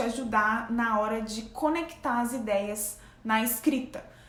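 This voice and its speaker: A woman speaks at a fairly slow pace with a high pitch and ordinary pitch variation. Audible room echo surrounds her voice. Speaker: graduate researcher and science YouTuber. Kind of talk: casual tutorial vlog. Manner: conversational.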